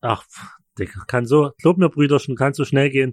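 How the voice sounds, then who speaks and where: A man talks at a fairly high pitch. The sound is dry and close with no echo, against a quiet background. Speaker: podcast co-host. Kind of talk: casual chat.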